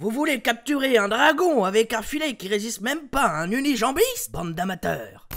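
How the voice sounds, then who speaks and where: A gruff put-on character voice at a fairly high pitch and moderate pace. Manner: gruff, distinctive intonation.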